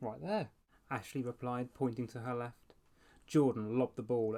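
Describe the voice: Fairly even intonation throughout plain reading aloud.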